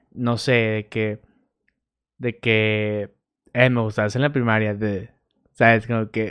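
Nothing much stirs in the quiet background. A man speaks fairly slowly. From Mexico, Torreón. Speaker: podcast host. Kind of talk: casual monologue. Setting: bedroom home recording on camera. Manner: animated.

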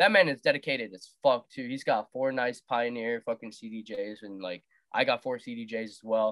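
This man talks in an ordinary speaking voice at medium pitch and a moderate pace, with ordinary pitch variation and big swings in loudness. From US Midwest, Wisconsin (partly Las Vegas). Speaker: DJ and music producer. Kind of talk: casual chat.

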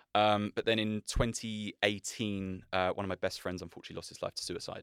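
On a very clean, dry, close recording with no echo and a silent background, a man with an unremarkable speaking voice talks fairly low and fairly quick. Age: 30s. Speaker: men's coach. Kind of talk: casual chat.

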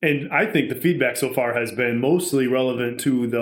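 With an ordinary speaking voice at medium pitch, a man talks at a fairly quick pace. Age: 30s. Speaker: friend of the hosts, guest. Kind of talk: casual chat.

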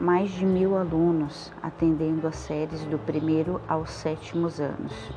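A woman's fairly low voice moves at a fairly slow pace against noticeable background noise. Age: 30s. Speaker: schoolteacher. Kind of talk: scripted presentation.

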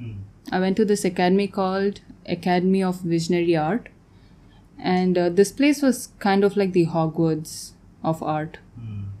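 The voice has a dark, mellow tone, lively intonation and a moderate pace, broken by long, frequent pauses. The recording is very clean, with a silent background. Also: woman, medium pitch for a woman. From Tanzania. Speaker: painter. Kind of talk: casual chat.

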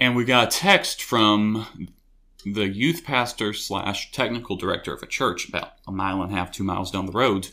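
On a very clean recording with a silent background, a man with a Tennessee accent speaks at a moderate pace in a fairly low pitch, with a bright, sharp tone and ordinary pitch variation. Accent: Tennessee Southern US. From US South (Knoxville, Tennessee). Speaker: college student. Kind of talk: testimony.

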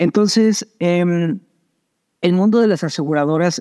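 With a Mexican accent, a man talks at a fairly slow pace in a dark, mellow tone with lively intonation, recorded with a dry, close sound with no echo over a quiet background. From Mexico. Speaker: startup founder. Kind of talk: interview.

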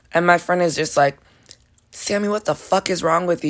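On a very clean recording with a silent background, a woman speaks loud in an animated tone, her pitch very deep and low with ordinary variation. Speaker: podcast host, college student. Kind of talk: casual personal storytelling monologue.

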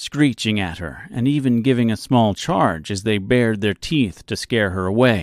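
Ordinary pitch variation shapes the delivery. It is a natural reading voice.

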